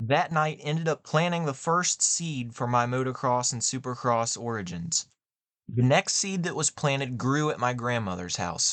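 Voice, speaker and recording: A plain, everyday voice speaks at a moderate pace with lively intonation against a quiet background. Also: man, medium pitch for a man. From West Virginia, US (small town). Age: 20s. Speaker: motocross podcast host. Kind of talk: scripted podcast monologue.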